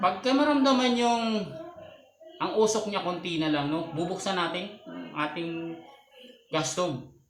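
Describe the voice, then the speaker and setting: This man's voice sits high in pitch, with lively intonation and a fairly slow pace. Noticeable background noise runs underneath. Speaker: home-business siomai seller and video creator. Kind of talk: street-food vendor's how-to demo, pitching a siomai cart setup to viewers step by step.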